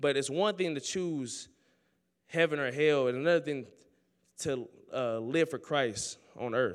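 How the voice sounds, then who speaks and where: Pausing long and often, a man speaks at a fairly slow pace in a fairly high pitch with ordinary pitch variation. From Oakland, California. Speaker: student preacher. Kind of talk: sermon. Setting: chapel with audience. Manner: animated.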